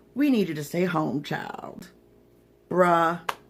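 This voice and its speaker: A woman speaks with lively intonation in a bright, sharp tone. The recording is very clean, with a silent background. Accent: Southern US. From Florida. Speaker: magazine publisher and livestream host. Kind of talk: livestream monologue. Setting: livestream. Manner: animated.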